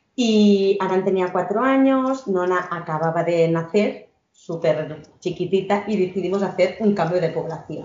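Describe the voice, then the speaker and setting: In a plain, everyday voice, a woman speaks at a fairly slow pace with hardly any pauses and ordinary pitch variation. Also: medium pitch for a woman. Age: 30s. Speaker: emotional education entrepreneur. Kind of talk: podcast interview.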